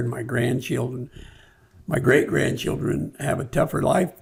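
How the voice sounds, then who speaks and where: With vocal fry and an American accent, a man speaks at medium pitch. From California. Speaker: former mayor and businessman. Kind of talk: podcast interview.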